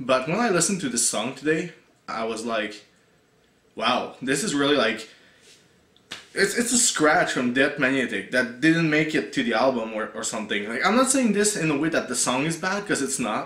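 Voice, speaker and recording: Heard with audible room echo, a man speaks at a moderate pace in a fairly high pitch, swinging very widely in pitch. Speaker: music reviewer, YouTuber. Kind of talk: casual video review. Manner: halting, many fillers and repeats.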